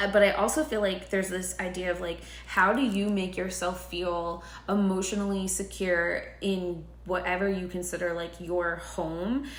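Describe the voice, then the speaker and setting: Amid noticeable background noise and audible room echo, a woman speaks at a moderate pace with medium pitch and fairly even intonation. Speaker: tarot reader. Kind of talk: tarot reading monologue. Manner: filler-heavy, casual.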